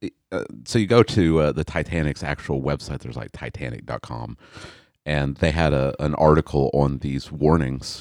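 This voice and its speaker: A man's very deep, low voice with vocal fry, a moderate pace and ordinary pitch variation. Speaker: pastor. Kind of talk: casual Bible study discussion.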